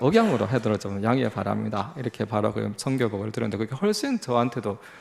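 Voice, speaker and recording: Talking at a fairly quick pace in a Busan accent, a man has a medium pitch and vocal fry. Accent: Gyeongsang (Busan) accent, can't hide it. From South Korea, Busan. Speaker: lay missionary, guest speaker. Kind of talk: sermon / mission report. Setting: church service. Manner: halting, many fillers.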